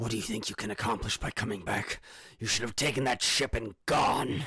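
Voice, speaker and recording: Raspy and fairly quick, a man puts on a character voice at a medium pitch. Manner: menacing, grunting.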